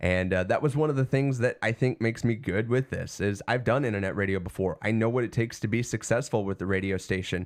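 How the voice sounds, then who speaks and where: A man of medium pitch has a plain, everyday voice with ordinary pitch variation. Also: very clean recording, silent background. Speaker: internet radio and podcast host. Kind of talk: casual livestream chat. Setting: home basement studio. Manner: casual, many fillers and restarts.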